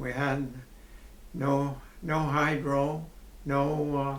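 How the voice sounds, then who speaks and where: With noticeable background noise and audible room echo, a man in an Ontario accent speaks at a fairly high pitch with monotone, flat intonation. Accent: rural Ontario Canadian. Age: 80s+. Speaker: retired farmer. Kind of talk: interview.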